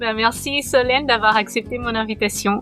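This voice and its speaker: With a Portuguese accent, the speaker keeps a moderate pace and fairly even intonation on a very clean recording with a silent background. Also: woman. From Portugal. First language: Portuguese (speaking French). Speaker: podcast host, coach for expectant fathers. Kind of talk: interview; scripted podcast intro.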